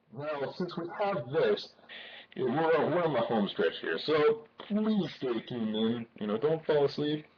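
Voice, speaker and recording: Noticeable background noise behind a man's fairly high voice, fairly slow and marked by very wide pitch swings. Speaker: math tutor. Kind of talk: casual instructional explanation.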